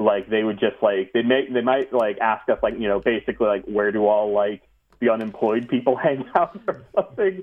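At a moderate pace, a man speaks in an ordinary speaking voice at medium pitch, with very even loudness and ordinary pitch variation. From US, moved around; teen years in North Jersey. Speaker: video game developer. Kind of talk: casual interview chat.

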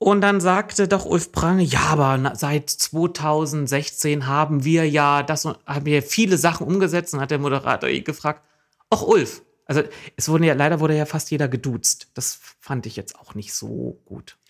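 A man with a plain, everyday voice talks at a moderate pace, fairly high in pitch with ordinary pitch variation. His loudness swings widely. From eastern Saxony-Anhalt, Jessen. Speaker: podcast co-host, local traffic activist. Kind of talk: casual chat.

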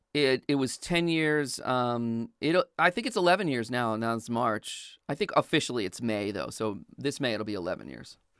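With an American accent and a normal speaking voice, a man at medium pitch uses lively intonation at a moderate pace with hardly any pauses, the sound dry and close with no echo in a very clean recording against a silent background. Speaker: voiceover studio owner and coach. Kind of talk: casual interview. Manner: casual, laughs often.

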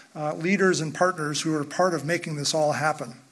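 This man talks fairly quickly. His intonation is fairly even. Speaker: institute president introducing event. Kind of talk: welcome speech.

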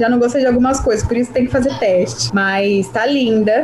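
A woman's fairly quick speech with very wide pitch swings, amid noticeable background noise. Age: 20s. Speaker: journalist and handbag entrepreneur. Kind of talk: casual interview.

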